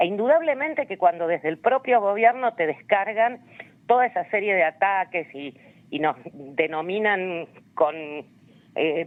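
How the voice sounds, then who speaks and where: A woman with an Argentine accent, at a fairly slow pace, her medium pitch marked by very wide swings. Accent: Rioplatense Argentine Spanish. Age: 60s. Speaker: human rights activist. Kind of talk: interview. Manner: hesitant, many fillers and repetitions.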